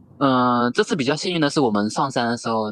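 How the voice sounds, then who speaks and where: A man speaks with ordinary pitch variation. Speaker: volleyball video blogger. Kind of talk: casual chat.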